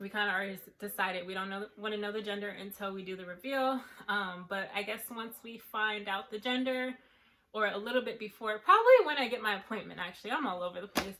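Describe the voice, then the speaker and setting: Noticeable background noise runs under a woman talking at a very fast pace with medium pitch. Her loudness swings widely while her intonation stays fairly even. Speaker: lifestyle vlogger. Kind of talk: casual vlog update.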